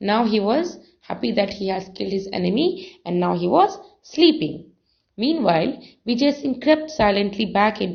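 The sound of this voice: The background stays quiet. Someone reads in an unforced reading voice.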